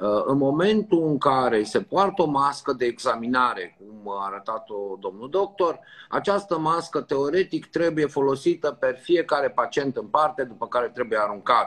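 A man with a normal speaking voice talks at a moderate pace in a fairly high pitch, his intonation lively and hardly any pauses between words. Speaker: doctor. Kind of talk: live tutorial. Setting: video call. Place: home room. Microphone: video call.

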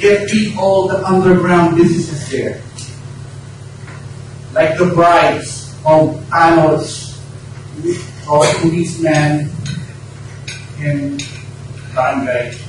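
A man's fairly high voice at a very slow pace, with long, frequent pauses and noticeable background noise. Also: ordinary pitch variation. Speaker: Toastmasters club speaker. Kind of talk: prepared speech to a club audience.

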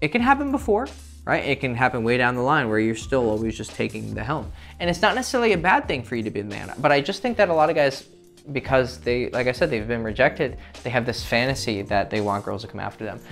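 A man talking at a very fast pace with faint music in the background. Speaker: dating coach. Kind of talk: advice monologue to camera. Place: home room.

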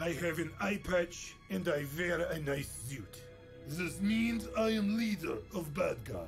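A man uses a put-on character voice, high-pitched and gravelly. He talks at a fairly slow pace over clear music in the background. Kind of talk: broken, simple English. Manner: menacing, boastful.

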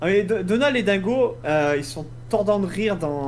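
Reading aloud in a natural voice with lively intonation.

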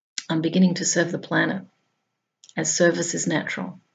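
With an Australian accent, a woman talks at a fairly low pitch, with vocal fry. Her pace is fairly quick and her intonation monotone and flat. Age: 50s. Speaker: spiritual blogger. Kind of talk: reading aloud; monologue. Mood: calm, gentle. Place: home room. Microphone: webcam.

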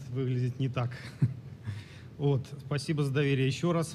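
Somewhat breathy speech comes at a moderate pace with fairly even intonation and audible room echo. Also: man. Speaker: former police officer, activist. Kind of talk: formal speech. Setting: conference stage with audience. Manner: halting.

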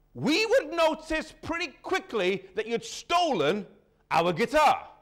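A man speaks against a quiet background. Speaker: preacher. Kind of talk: sermon. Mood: warm, lightly humorous. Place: church. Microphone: lapel.

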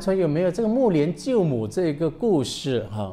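Speaking fairly quickly, a man uses a high pitch. His tone is dark and mellow. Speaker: Buddhist monk. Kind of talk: dharma talk. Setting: temple with audience. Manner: bilingual code-switching. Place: hall.

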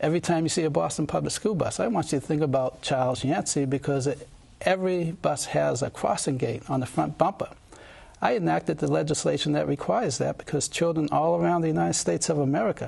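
Very fast, somewhat breathy speech with lively intonation. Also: man. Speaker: candidate. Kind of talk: interview answer. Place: studio. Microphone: lapel.

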